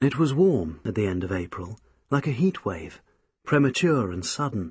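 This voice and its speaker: A man's somewhat breathy voice with very wide pitch swings, over a quiet background. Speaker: audiobook narrator. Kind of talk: audiobook novel reading. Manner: sensitive, expressive.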